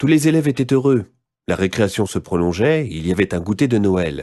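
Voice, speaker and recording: A man's dark, mellow voice, fairly low in pitch with very wide pitch swings, over a quiet background. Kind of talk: children's scary story reading.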